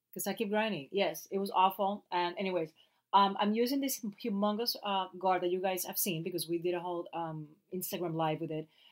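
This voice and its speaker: A woman with a Puerto Rican accent, medium pitch, ordinary pitch variation and a fairly quick pace. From Puerto Rico. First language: Spanish. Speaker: actress and podcast co-host. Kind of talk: casual chat. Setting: home closet recording.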